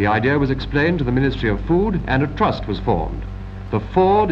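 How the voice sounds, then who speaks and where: A man with a British RP accent and lively intonation, over light background noise. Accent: 1940s British received pronunciation. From England. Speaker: film narrator. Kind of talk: 1940s British wartime film narration. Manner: formal, measured, authoritative newsreel-style delivery; crisp, earnest and patriotic, with clipped period diction. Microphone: old recording.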